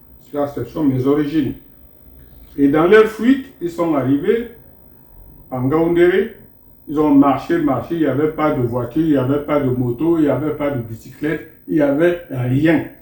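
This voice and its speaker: Speaking at a fairly slow pace with long, frequent pauses, a man uses a fairly high pitch, ordinary pitch variation and a dark, mellow tone. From Cameroon, Moungo area near Douala. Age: 80s+. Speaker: traditional elder and spiritual teacher. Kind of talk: interview storytelling.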